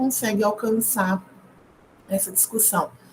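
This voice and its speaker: Fairly high in pitch, a woman with an ordinary speaking voice speaks at a fairly slow pace and with fairly even intonation. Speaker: history PhD student and teacher giving a short course. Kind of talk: lecture.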